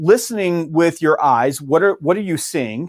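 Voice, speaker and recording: A man with a Southern US accent and a fairly high pitch, moderate pace, and lively intonation, on a very clean recording with a silent background. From US South, Georgia. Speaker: sales author and trainer. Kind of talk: interview.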